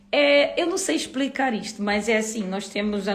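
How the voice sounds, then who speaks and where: There's audible room echo and noticeable background noise around this woman. She speaks at a moderate pace in a fairly high pitch. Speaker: YouTuber and live host. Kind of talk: casual livestream chat. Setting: livestream. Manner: animated.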